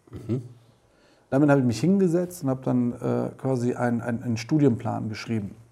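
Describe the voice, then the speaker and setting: A man with a dark, mellow tone talks at a fairly quick pace in a medium pitch. He uses ordinary pitch variation and leaves long, frequent pauses. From Germany, Düsseldorf, Italian family. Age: 40s. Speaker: photographer and filmmaker. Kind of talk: interview.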